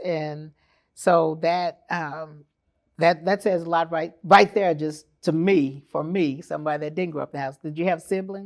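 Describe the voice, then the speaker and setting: A woman with an American accent speaks at a moderate pace in a fairly low pitch, with ordinary pitch variation. It is an ordinary speaking voice on a very clean recording with a silent background. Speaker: podcast host. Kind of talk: interview.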